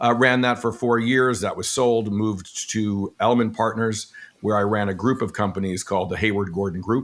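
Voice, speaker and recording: A man with an American accent speaks at a moderate pace with a fairly low pitch, fairly even intonation and hardly any pauses. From New York (Brooklyn). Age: 60s. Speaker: retired business executive. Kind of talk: podcast interview. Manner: hesitant, many fillers.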